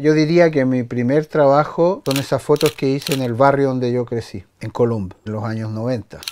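A man speaks at a moderate pace with lively intonation over light background noise. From France. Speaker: photographer. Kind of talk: personal storytelling. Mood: reflective, storytelling. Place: home room.

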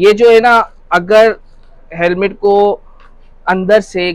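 A man's high voice at a fairly slow pace, with ordinary pitch variation, a quiet background and dry sound with no echo. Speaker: shop seller. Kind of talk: product demonstration interview. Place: shop.

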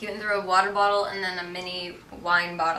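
Delivered at a moderate pace in a flat monotone, the speech carries audible room echo and light background noise. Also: woman. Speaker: interviewee. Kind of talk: interview answer. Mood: relaxed, amused. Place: home room.

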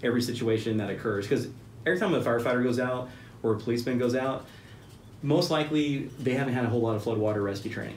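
A man with an American accent talks at a very fast pace with ordinary pitch variation, amid light background noise and audible room echo. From Central Texas. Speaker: business owner and military veteran; podcast guest. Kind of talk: casual interview. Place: meeting room.

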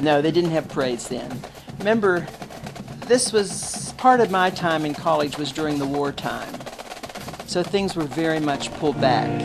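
A woman with an American accent and a very deep, low pitch, lively intonation, a moderate pace, long, frequent pauses and music in the background. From McKeesport, Pennsylvania. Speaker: retired research scientist. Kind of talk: interview answer.

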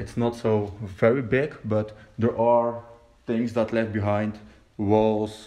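A man's fairly low voice at a very slow pace. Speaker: urban explorer vlogger. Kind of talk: casual vlog chat. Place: hall. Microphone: phone near.

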